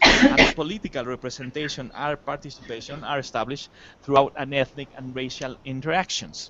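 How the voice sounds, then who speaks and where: Over noticeable background noise, a man speaks with a Spanish accent. His pitch is fairly high and his pace fairly quick. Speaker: academic panelist. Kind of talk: conference presentation. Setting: university lecture room with audience. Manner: halting, many fillers.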